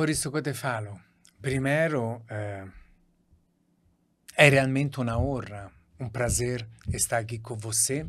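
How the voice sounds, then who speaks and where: Very slowly and somewhat breathily, a man speaks with a strong Italian accent at a medium pitch, using ordinary pitch variation. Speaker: doctor. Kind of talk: podcast interview.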